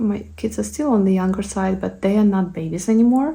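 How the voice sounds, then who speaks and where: Somewhat breathy female speech with pitch that varies in an ordinary way. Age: 30s. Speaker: beauty content creator. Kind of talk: chatty get-ready-with-me Q&A. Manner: pauses to collect thoughts.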